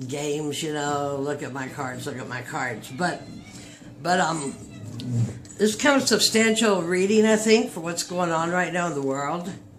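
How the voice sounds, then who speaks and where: Over music in the background and audible room echo, a woman's voice swings very widely in pitch. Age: 60s. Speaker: tarot reader. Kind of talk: casual tarot reading monologue. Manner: halting.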